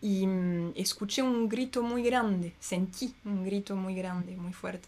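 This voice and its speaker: Speaking with ordinary pitch variation, a woman sounds somewhat breathy. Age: 30s. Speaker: herbalist. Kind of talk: casual chat. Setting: at home.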